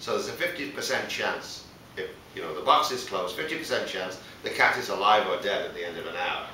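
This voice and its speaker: The speech comes at a very fast pace with audible room echo and light background noise. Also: man. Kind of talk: casual explanatory conversation. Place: studio.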